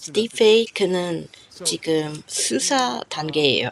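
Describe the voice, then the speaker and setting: A woman with a non-native accent speaks at a very slow pace with lively intonation over noticeable background noise. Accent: foreign accent in Korean, non-native. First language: not Korean (speaking Korean). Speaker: YouTuber commenting on Korea news. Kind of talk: video commentary. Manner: halting, with fillers.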